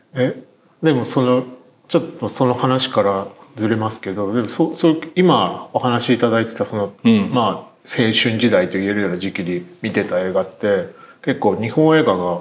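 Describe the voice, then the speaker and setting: Noticeable background noise sits behind a man with a medium-pitched voice. He talks at a moderate pace with lively intonation. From Tokyo. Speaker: writer and podcast host. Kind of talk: podcast interview.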